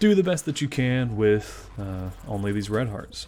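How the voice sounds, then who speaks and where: Speaking with an American accent, this man has a fairly low pitch. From US South, Memphis, Tennessee. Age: 20s. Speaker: gaming YouTuber. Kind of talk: gameplay commentary. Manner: frequent filler uh, unscripted.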